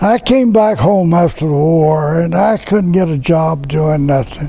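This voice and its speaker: Over noticeable background noise, a man with a Tennessee accent speaks at a fairly slow pace in a high pitch. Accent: US Southern, Tennessee. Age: 90s. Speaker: war veteran. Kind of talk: casual chat.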